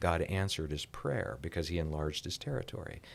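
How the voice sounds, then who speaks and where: A man's very deep, low voice with vocal fry and an American accent, fairly quick, with ordinary pitch variation, on a very clean recording with a silent background. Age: 60s. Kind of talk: podcast interview.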